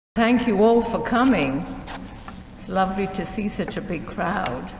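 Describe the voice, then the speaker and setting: A woman's medium-pitched voice at a fairly slow pace, with lively intonation, big swings in loudness and audible room echo. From Shanghai, China. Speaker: speaker sharing life story. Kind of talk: museum presentation. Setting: museum talk with audience.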